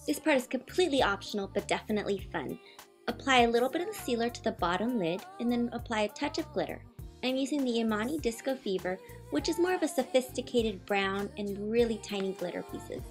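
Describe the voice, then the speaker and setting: A woman talks very fast. Music sounds in the background. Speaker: beauty vlogger. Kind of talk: makeup tutorial voiceover.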